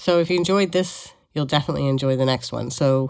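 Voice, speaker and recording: A woman's very deep, low voice with an American accent, on a very clean recording with a silent background. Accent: American with some British intonation. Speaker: podcast and talk show host. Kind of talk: casual interview wrap-up.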